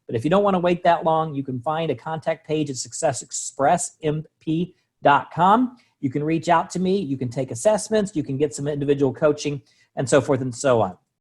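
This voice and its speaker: Talking at a fairly quick pace, a man uses a fairly high pitch with ordinary pitch variation. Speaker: sales trainer and coach. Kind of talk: online training presentation. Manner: fast.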